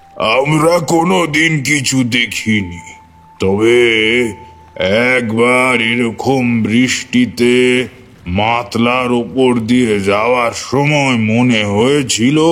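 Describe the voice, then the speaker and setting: With music in the background, a man does a put-on character voice at a medium pitch and a very slow pace. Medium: audio drama.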